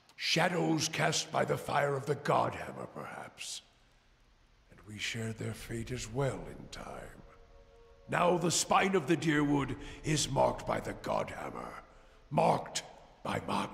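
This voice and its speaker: A man speaks in a put-on character voice with a fairly high pitch. He leaves long, frequent pauses. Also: fairly slow pace. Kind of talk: brooding fantasy monologue. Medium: actual play. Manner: grave, halting, introspective.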